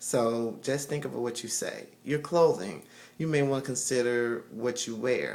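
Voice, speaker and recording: A man at a fairly slow pace, ordinary pitch variation, in a room with audible echo. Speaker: video blogger. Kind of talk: casual advice monologue. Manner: halting, many fillers.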